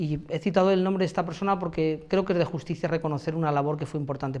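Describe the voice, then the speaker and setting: This man's voice is high-pitched, with ordinary pitch variation. He talks at a very fast pace. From Spain, Elda (Alicante, Valencian region). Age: 40s. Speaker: mayoral candidate, university professor. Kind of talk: interview answers. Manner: hesitant, many fillers.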